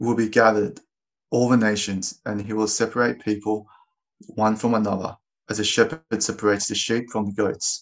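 A man with an ordinary speaking voice talks at a moderate pace. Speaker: scripture reader. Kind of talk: reading aloud.

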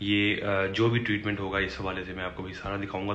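A man talks over light background noise. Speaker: vlogger. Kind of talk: casual vlog chat. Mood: concerned, earnest. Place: home room. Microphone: phone near.

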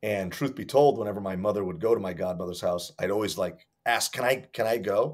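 A man's fairly low voice with ordinary pitch variation, fairly quick and with hardly any pauses, against a quiet background. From Hartford, Connecticut, US; Connecticut. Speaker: martial arts instructor. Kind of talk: interview. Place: home room.

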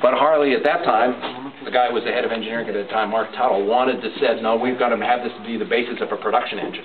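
The speech moves at a very fast pace against noticeable background noise. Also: man. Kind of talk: interview answer. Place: workshop. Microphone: camera far.

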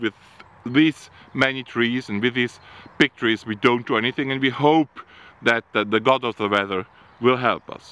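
The pace is fairly slow, with long, frequent pauses. Pitch varies in an ordinary way, and the sound is dry with no echo. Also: man. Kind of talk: tutorial. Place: farm machine. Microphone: phone near.

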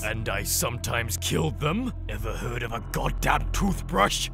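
Over loud music in the background, a man uses a put-on character voice at a moderate pace. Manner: grumpy, crude.

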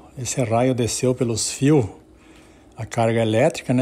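A man is speaking. His tone is dark and mellow. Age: 60s. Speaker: family storyteller. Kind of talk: personal storytelling. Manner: halting.

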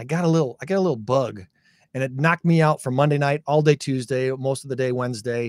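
A man talking at a very fast pace, dry sound with no echo. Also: ordinary pitch variation, quiet background. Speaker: show host. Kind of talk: casual talk show chat. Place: studio. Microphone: studio mic.

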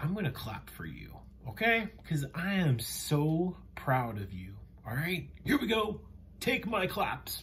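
A man speaks very slowly with vocal fry, his pitch swinging very widely and his loudness rising and falling in big swings. Background noise is noticeable. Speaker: children's educational show host. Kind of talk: enthusiastic kids' show talk. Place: home room. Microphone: webcam.

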